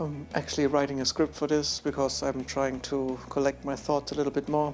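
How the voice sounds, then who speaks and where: A man's fairly high voice in a non-native accent, monotone with flat intonation. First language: not English. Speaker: camera reviewer, photographer. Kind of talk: casual vlog review. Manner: unscripted, halting.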